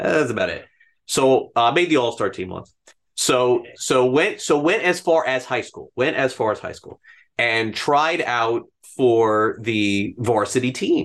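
A man with an American accent and an ordinary speaking voice, medium pitch, a fairly slow pace, lively intonation and big swings in loudness against a quiet background. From South Florida, North Miami. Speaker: baseball reporter and podcast host. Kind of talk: casual interview.

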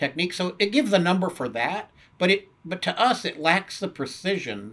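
A man with an American accent talks at a fairly quick pace. His tone is bright and sharp. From US Southwest and California. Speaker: turfgrass science professor. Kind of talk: interview. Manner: casual with frequent fillers.

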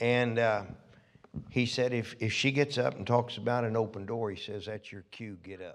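At a moderate pace, a man with a plain, everyday voice speaks at medium pitch, with fairly even intonation and big swings in loudness. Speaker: visiting minister giving prophetic words. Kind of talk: sermon / prophetic ministry. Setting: church.

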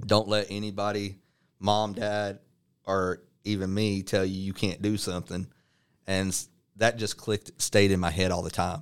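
A man with a Texan accent speaks in a fairly low pitch at a moderate pace, his intonation monotone and flat, on a very clean recording with a silent background. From North Texas (Dallas area). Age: 30s. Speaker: pro wrestler. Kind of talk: interview.

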